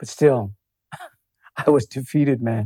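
A man's somewhat breathy, dark, mellow voice sits at medium pitch, moving at a moderate pace with ordinary pitch variation. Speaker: author and palliative care worker. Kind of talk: interview conversation. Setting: in-person studio.

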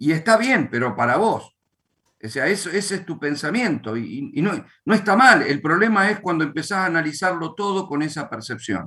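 A man with an Argentine accent, high-pitched and bright, sharp in tone, with very wide pitch swings at a moderate pace. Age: 50s. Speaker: pastor. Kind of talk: religious teaching. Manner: halting.

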